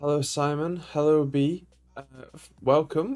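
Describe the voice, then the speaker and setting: A man speaks in a British accent with a dark, mellow tone. His pace is moderate and his intonation monotone and flat. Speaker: tech YouTuber live streamer. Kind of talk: live stream chat. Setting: home room, live stream. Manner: slurred speech.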